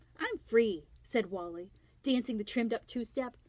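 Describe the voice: The clip is plain reading aloud.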